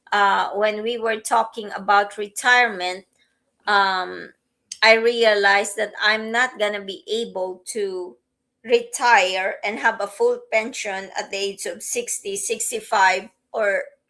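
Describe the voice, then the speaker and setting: This woman's voice sits fairly high and has a bright, sharp tone. She talks at a very slow pace with monotone, flat intonation. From Philippines. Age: 50s. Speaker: podcast co-host, teacher and business owner. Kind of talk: casual chat.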